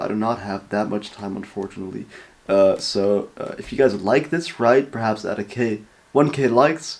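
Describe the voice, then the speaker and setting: A man with a Dutch accent speaks at a moderate pace. His pitch is medium, with ordinary variation. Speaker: reaction video creator. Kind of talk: casual reaction commentary. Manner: casual, hesitant with fillers.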